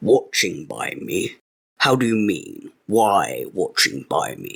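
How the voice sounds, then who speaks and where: Someone does a growling, put-on character voice. It moves at a very slow pace, with big swings in loudness. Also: man. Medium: read story. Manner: masterful, curt, dictatorial.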